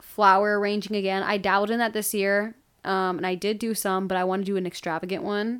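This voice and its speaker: A woman speaks at a medium pitch in a monotone, flat delivery. The recording is very clean, with a silent background. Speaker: podcast co-host. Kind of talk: casual chat.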